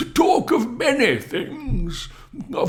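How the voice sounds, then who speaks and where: A man's put-on character voice at a very slow pace. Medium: read story. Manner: genial, coaxing.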